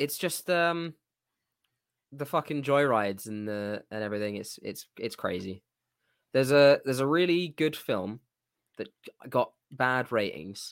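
A man's medium-pitched voice with lively intonation at a moderate pace, broken by long, frequent pauses, in a dry, close, echo-free sound on a very clean recording with a silent background. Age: 20s. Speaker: podcast co-host. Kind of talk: casual chat.

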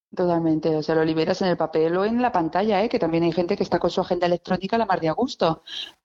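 The speaker is a woman with a fairly low pitch. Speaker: illustrator, stationery designer. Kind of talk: casual interview chat. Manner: lively, laughing.

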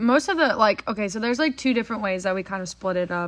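In a Texan accent, a woman speaks at a medium pitch with a bright, sharp tone on a very clean recording with a silent background. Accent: Texan American. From Texas, Frisco. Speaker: podcast host, horse trainer. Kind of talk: casual chat. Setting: home barndominium.

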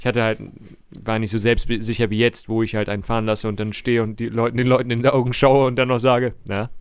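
In monotone, flat intonation, a man speaks at a very fast pace. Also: medium pitch for a man. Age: 30s. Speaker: podcast host. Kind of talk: casual chat.

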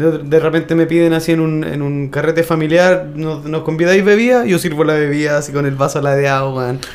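Against noticeable background noise, a man with a fairly high voice talks at a fairly quick pace with hardly any pauses. His intonation stays fairly even. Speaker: podcast host. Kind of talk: casual chat.

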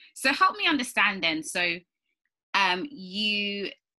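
A woman's bright, sharp voice with lively intonation. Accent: British. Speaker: podcast host. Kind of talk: interview.

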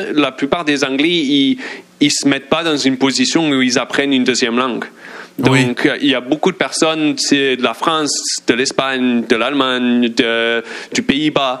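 Over noticeable background noise, a man talks with fairly even intonation and very even loudness. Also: medium pitch for a man. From England. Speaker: sports journalist. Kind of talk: casual chat.

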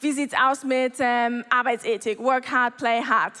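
A woman talks with a high pitch. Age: 30s. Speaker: church member giving a talk. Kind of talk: testimony.

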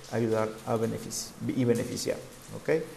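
The room echo is audible as a man talks. His pace is fairly slow. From Mexico, Sinaloa. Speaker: spiritual guide and livestream host. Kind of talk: live-streamed spiritual talk. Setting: live stream on social media. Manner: hesitant, many fillers.

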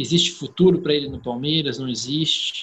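A man with a plain, everyday voice. His pitch is fairly high, with ordinary variation. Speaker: podcast host. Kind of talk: casual chat.

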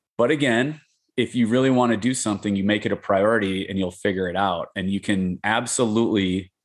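A man in a normal speaking voice, fairly low in pitch, at a moderate pace with ordinary pitch variation. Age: 40s. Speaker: jiu-jitsu instructor and retired police officer. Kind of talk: casual interview.

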